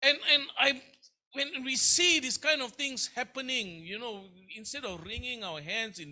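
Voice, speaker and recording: A man speaks at a fairly slow pace in a raised, projected voice. His tone is bright and sharp, his intonation lively. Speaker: pastor. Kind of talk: sermon. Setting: church. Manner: repetitive, halting.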